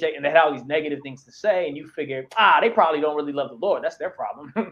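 A man with a fairly high-pitched voice. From Chicago, Puerto Rican family. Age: 30s. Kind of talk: interview testimony.

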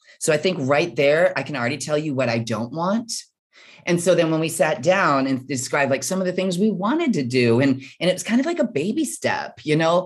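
With a very deep, low pitch, a woman speaks with lively intonation. Her pace is fairly quick. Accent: American. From US Midwest. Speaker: author and bodybuilder. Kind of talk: interview. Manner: halting.

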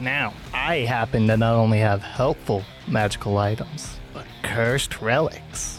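Using a put-on character voice, a man speaks at a medium pitch. His pace is fairly slow, and clear music plays behind him. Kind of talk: comic character voice. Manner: cheery, bubbly, giggling; shifty when questioned.

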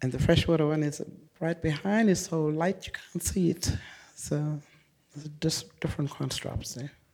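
A woman speaks with a very deep, low pitch and a dark, mellow tone. Her pace is moderate, and her pitch variation is ordinary. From remote northeast Kimberley, Western Australia. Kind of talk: artist talk before live audience. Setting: gallery before live audience.

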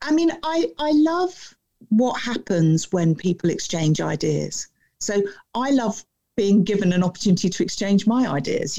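Lively intonation marks a woman's dark, mellow voice at medium pitch. She speaks at a moderate pace. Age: 50s. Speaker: author and keynote speaker. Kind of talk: interview. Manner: poised.

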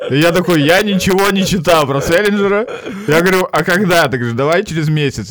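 Noticeable background noise sits behind a man's voice. He speaks high-pitched and fairly quickly. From northern Russia (Arkhangelsk and Murmansk regions). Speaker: stand-up comedian. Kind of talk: casual chat.

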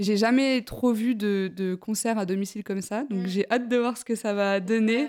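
A woman speaks in an unremarkable speaking voice at a moderate pace with hardly any pauses. Her loudness swings widely. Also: fairly high pitch for a woman, fairly even intonation. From France, Besançon. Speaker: podcast host. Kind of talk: casual chat. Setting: at home, apartment. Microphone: poor sound quality.

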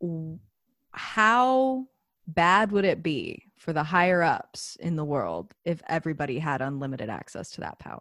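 A woman with an American accent speaks at a fairly slow pace, her fairly low pitch swinging very widely. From Austin, Texas. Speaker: music teacher and yoga student. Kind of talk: casual chat. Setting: video call.

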